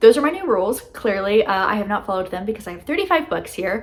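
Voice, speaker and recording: Over noticeable background noise, a woman talks at a fairly quick pace. Her medium pitch carries lively intonation. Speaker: booktuber. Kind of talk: casual vlog book haul. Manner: fast; filler-heavy casual, frequent um.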